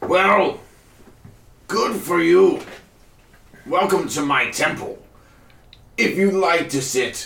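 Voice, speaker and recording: Putting on a character voice, a man with a high pitch talks at a very slow pace with long, frequent pauses, and an audible echo surrounds him. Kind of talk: preacher's sermon. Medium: actual play. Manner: fervent, cultish, oddly cheerful.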